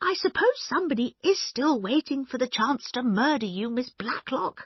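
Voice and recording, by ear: Putting on a character voice, a woman speaks at a moderate pace in a high pitch with lively intonation.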